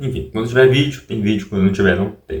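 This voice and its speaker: With very wide pitch swings, a man speaks at a fairly low pitch in a room with audible echo. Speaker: YouTuber. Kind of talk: casual vlog talk. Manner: soft-spoken; halting.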